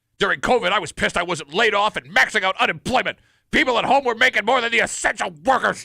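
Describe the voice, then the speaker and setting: In a put-on character voice, a man races along at a very fast pace with a high pitch and lively intonation, the sound dry and close with no echo. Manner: angry, grumbling.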